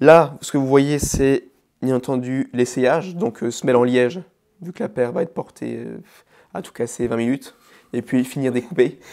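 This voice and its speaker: Speaking at a moderate pace with long, frequent pauses, a man with a medium pitch, ordinary pitch variation and a dark, mellow tone makes big swings in loudness. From Alsace, Vosges mountains. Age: 20s. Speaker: bespoke shoemaker. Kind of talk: casual interview. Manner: hesitant, many fillers.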